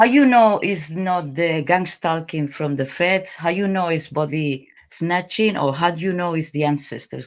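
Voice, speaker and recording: This speaker has a non-native accent and talks at a moderate pace. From Spain. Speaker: caller. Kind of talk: call-in question. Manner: halting.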